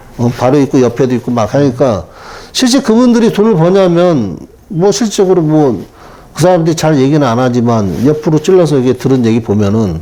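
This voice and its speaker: At a fairly quick pace, a man's voice moves through very wide pitch swings with very even loudness. Noticeable background noise is present. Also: fairly high pitch for a man. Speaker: taxi driver, retired telecom employee. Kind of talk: interview.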